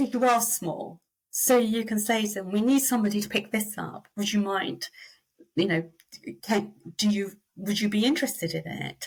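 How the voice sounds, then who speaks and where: A woman with a British accent speaks at a moderate pace. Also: medium pitch for a woman, ordinary pitch variation. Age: 60s. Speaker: reward and recognition consultant. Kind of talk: interview.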